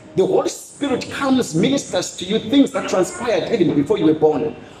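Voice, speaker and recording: The voice has an animated tone and moves at a fairly quick pace. Noticeable background noise is present. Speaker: preacher. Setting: church with congregation. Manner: animated, emphatic, exhorting the crowd.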